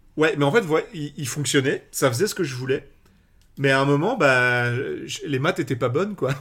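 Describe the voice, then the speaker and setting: A man with a plain, everyday voice, fairly high in pitch, ordinary pitch variation, moderate pace. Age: 20s. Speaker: Magic content creator. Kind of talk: casual chat.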